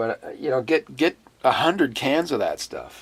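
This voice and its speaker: The pace is moderate as this man talks. Behind his voice, background noise is noticeable. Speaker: fitness author. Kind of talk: casual talk to camera. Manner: hesitant, rambling.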